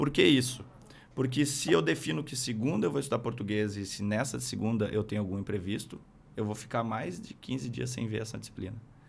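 A man talks at a fairly quick pace in a fairly low pitch with vocal fry. His intonation is lively. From Rio Grande do Sul interior, Brazil. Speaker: military police captain; podcast guest. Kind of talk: interview. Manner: halting, many fillers. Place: studio. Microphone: studio mic.

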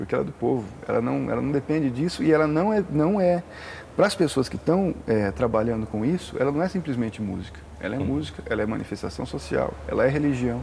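A man talks at a very fast pace with very wide pitch swings around a medium pitch. Light background noise sits underneath. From interior of São Paulo state, Brazil. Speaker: musician. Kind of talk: casual interview. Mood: relaxed, conversational.

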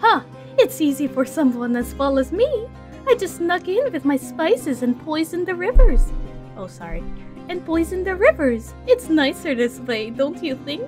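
Clear music plays in the background as a female-sounding put-on character voice speaks. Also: moderate pace. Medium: actual play.

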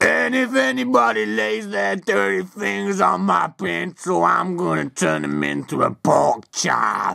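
A man puts on a cartoonish character voice. He speaks at a fairly slow pace with a fairly low pitch. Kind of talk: comic overacting. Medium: puppet show. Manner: boastful, gruff trash talk.

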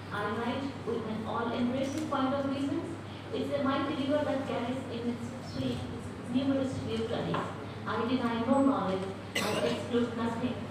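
Heavy room echo and noticeable background noise surround a woman speaking at a moderate pace. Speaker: poet on a festival panel. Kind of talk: poetry reading and introduction. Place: hall. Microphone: camera far.

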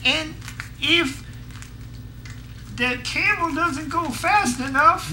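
A high-pitched, cartoonish character voice moves at a very slow pace with long, frequent pauses. Background noise is clearly audible. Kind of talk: comic puppet improv. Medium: puppet show. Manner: eager, rambling, excitable.

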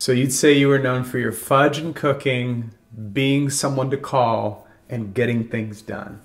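Against a quiet background, a man talks at a fairly slow pace with fairly even intonation. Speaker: talk show host. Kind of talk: interview questions. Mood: warm, attentive. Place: kitchen.

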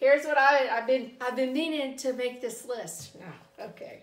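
A woman's high-pitched voice with a Southern US accent at a fairly slow pace, with audible room echo. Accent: Southern American. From US South. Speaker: YouTuber reviewing subscription boxes. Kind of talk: product unboxing review. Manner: casual, conversational. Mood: cheerful, relaxed. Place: home room. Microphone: camera far.

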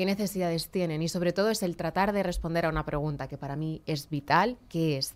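At a fairly quick pace, a woman speaks in a fairly low pitch with ordinary pitch variation. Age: 30s. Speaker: communicator and public speaking trainer; public speaking trainer. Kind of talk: radio interview. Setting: radio/TV studio. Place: studio. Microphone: studio mic.

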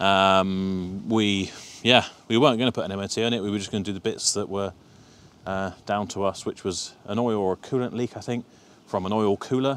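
Delivered with fairly even intonation, a normal speaking voice comes through in a dry sound with no echo. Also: man. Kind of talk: casual vlog chat. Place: open country. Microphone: lapel.

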